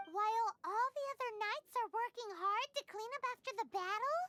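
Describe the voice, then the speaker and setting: Someone performs a squeaky, put-on character voice at an extremely high pitch and a moderate pace. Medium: solo performance. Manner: inquisitive, cheeky.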